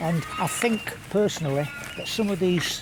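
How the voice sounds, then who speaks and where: The man's intonation is lively, with audible room echo and noticeable background noise around him. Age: 70s. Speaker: party volunteer. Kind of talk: street interview.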